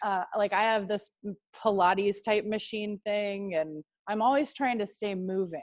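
A woman with an American accent in a normal speaking voice, medium-pitched, at a fairly slow pace with ordinary pitch variation. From Texas. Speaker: marketing strategist and yoga teacher. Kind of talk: interview.

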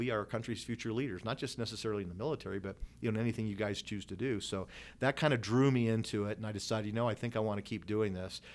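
A man at medium pitch with fairly even intonation, on a very clean recording with a silent background. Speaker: retired air force colonel and economics professor. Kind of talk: casual interview. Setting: his office.

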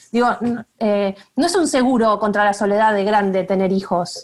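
A woman speaks with a Rioplatense accent. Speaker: communications professional. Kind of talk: casual chat.

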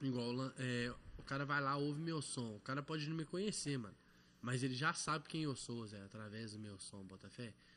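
This man speaks at a moderate pace in a medium pitch, with ordinary pitch variation and a bright, sharp tone. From Belo Horizonte, Morro das Pedras, Brazil. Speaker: rapper. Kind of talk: casual chat.

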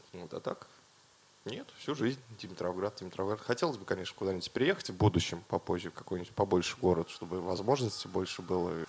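A man's very deep, low voice at a very fast pace, with big swings in loudness and ordinary pitch variation. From Russia, Dimitrovgrad. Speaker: concert organizer. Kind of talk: casual chat.

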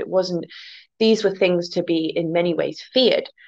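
A woman in an English accent, medium-pitched, with fairly even intonation. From England, near the Welsh border. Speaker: guest, folklore and fairy lore speaker. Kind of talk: casual chat.

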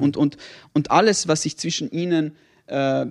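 This man has an unremarkable speaking voice, fairly high in pitch, delivered at a moderate pace over a quiet background. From not South Tyrol. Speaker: podcast co-host. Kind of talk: casual chat.

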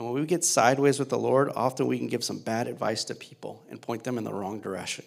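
A man with an American accent talks at a very fast pace with hardly any pauses, using a medium pitch, ordinary pitch variation and vocal fry. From US South, Louisiana. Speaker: pastor. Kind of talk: sermon. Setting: church. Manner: animated.

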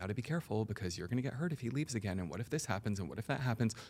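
This man speaks in a fairly low voice with lively intonation. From Puerto Rican heritage. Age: 40s. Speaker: hypnotherapist and mindset coach. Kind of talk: casual interview chat. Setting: studio.

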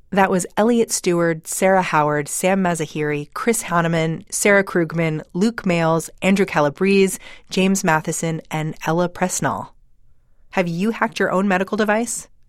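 On a very clean recording with a silent background, a woman with a plain, everyday voice speaks at medium pitch and a moderate pace, her intonation fairly even and her loudness very even. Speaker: podcast host. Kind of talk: scripted podcast intro and conversational interview.

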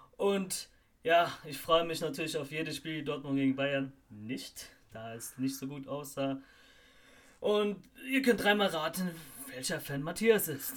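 A man at fairly high pitch, lively intonation, big swings in loudness, long and frequent pauses. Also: fairly slow pace. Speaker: football podcast host. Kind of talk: casual chat.

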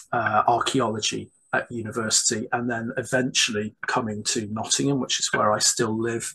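A man's medium-pitched voice with a slightly husky edge, a fairly bright tone and a moderate pace

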